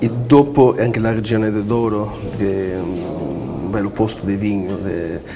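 Middling male pitch and normal pitch movement, with clear room echo and noticeable background noise around the man's voice. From Portugal. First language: Portuguese (speaking Italian). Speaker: golf course manager. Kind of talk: talk show conversation.

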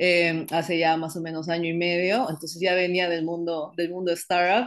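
Against a quiet background, a woman speaks at a moderate pace in a fairly low, monotone, flat voice. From Peru, Iquitos (Amazon region); Peru. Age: 20s. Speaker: tech startup cofounder; interviewee. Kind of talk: interview. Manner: hesitant, many fillers. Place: home room. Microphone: video call.

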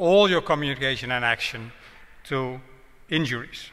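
The voice has a bright, sharp tone and ordinary pitch variation. It moves at a moderate pace against a quiet background. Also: man. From Netherlands. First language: Dutch. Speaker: road safety professor; guest lecturer. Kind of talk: public lecture; lecture. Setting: town hall with audience. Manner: hesitant, with fillers. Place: hall. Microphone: podium.

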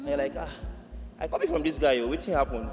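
Soft music sits faintly behind the voice. The speaker is a man. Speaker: guest. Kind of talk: panel answer. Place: stage. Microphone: podium.

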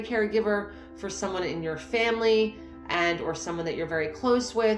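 Clear music plays behind a woman with ordinary pitch variation. She talks at a moderate pace, with audible room echo. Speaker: coach. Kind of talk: motivational talk to camera. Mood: warm, encouraging. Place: home room. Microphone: phone near.

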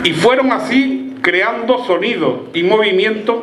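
A man speaks with an Andalusian accent in a warm tone. The room echo is audible. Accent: Andalusian Spanish, Malaga. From Málaga province, Spain. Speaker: festival proclamation speaker, former mayor and teacher. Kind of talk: formal ceremonial pregón, a solemn, rhetorical speech read to a festival crowd. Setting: stage with audience at an outdoor village festival. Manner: solemn, measured and eloquent, with orotund rhetorical cadence; warm, celebratory address to the crowd, rising to a festive call at the close. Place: stage. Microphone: handheld.

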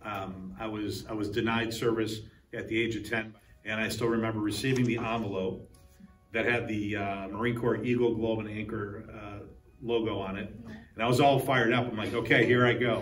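Over faint background music, a man talks at a moderate pace in a flat, monotone delivery. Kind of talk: interview answer. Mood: reflective, slightly emotional. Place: hall. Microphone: lapel.

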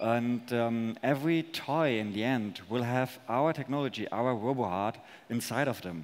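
Ordinary pitch variation and a moderate pace from a male speaker. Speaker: presenter. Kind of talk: conference talk and on-stage interview answers. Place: stage. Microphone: headset.

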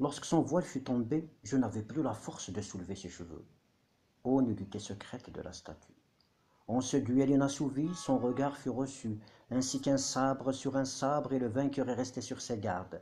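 A man talks at a fairly slow pace. His tone is dark and mellow, with vocal fry. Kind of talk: poetry reading. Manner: whispered, soft.

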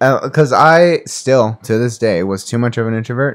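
This is a normal speaking voice delivered at a moderate pace. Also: man. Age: 20s. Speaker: podcast co-host. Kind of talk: casual chat. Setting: studio.

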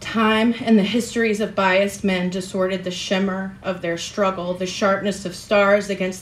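A woman's dramatic tone in monotone, flat intonation at a moderate pace. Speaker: open mic performer. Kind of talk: spoken word poetry at an open mic, after a chatty, laughing intro. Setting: stage with audience at an open mic. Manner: formal, literary, dramatic delivery with dense imagery; conversational, self-deprecating and laughing in the intro. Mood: solemn, measured. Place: stage. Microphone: studio mic.

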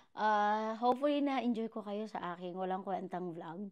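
Against a quiet background, a woman speaks in an animated tone at a moderate pace, with ordinary pitch variation. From Philippines. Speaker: vlogger. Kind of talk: casual mukbang vlog. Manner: animated, laughing often. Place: kitchen. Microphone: new wireless clip mic; lapel.

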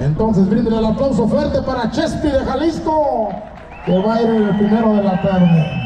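A loud, excited man with a high pitch and lively intonation at a moderate pace, over noticeable background noise. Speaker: rodeo announcer. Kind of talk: live rodeo announcer commentary. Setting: PA system at a rodeo arena. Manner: loud, excited, crowd-hyping. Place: stadium.

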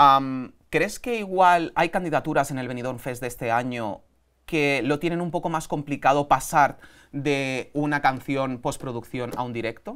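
A man speaks at a fairly slow pace in an animated tone. His pitch varies in an ordinary way, and the background is quiet. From Spain. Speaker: podcast host. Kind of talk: casual interview chat. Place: studio. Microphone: lapel.

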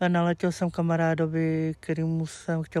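A man talks at a fairly slow pace with a fairly high pitch. The background is quiet and the sound is dry, with no echo. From Czech Republic, Plzeň; Czech Republic. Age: 30s. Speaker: streamer. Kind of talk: interview. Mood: candid, somewhat sheepish. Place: garden. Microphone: lapel.

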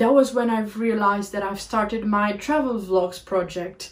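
Speaking with a Portuguese accent, a woman has a fairly high, somewhat breathy voice. Her pace is moderate and her pitch varies in an ordinary way. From Portugal, Algarve border town; Portugal. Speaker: travel vlogger. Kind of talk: podcast monologue. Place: home room.

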